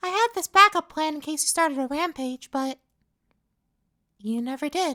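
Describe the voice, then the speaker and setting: On a very clean recording with a silent background, a put-on, squeaky character voice speaks high in pitch at a moderate pace. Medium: solo performance. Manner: chummy and cajoling, turning sneering.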